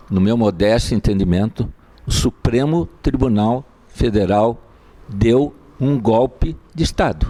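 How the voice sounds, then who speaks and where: Delivered at a very slow pace, the speech has very even loudness and ordinary pitch variation. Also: man, medium pitch for a man. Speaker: lawyer. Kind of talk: lecture. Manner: soft-spoken; formal. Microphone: mic not helping, too quiet.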